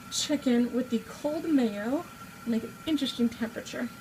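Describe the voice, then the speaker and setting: Over noticeable background noise, a woman talks at a fairly slow pace, her high pitch moving with ordinary variation. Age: 20s. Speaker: amateur home cook vlogger. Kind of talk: casual cooking tutorial. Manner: chatty, informal.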